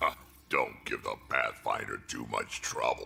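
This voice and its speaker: A man puts on a character voice. It is raspy and extremely high-pitched. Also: moderate pace. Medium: video game. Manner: gruff.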